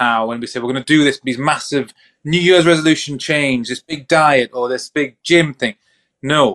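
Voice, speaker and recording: Recorded with a dry, close sound with no echo, a man with a fairly high pitch and ordinary pitch variation speaks in an ordinary speaking voice. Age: 30s. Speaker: mental health professional and podcast co-host. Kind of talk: casual chat.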